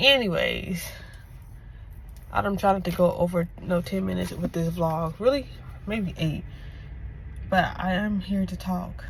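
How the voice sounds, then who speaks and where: Long, frequent pauses break up a woman's speech. Audible room echo surrounds her voice. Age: 20s. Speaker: lifestyle vlogger. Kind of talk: casual vlog monologue. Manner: fast; halting, self-correcting.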